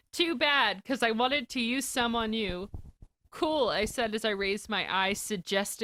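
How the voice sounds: The voice here is a natural reading voice.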